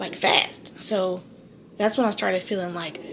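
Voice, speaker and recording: Noticeable background noise sits behind this recording. A woman speaks at medium pitch and a fairly quick pace. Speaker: vlogger giving birth. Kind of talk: casual vlog to camera. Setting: hospital room. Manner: fast.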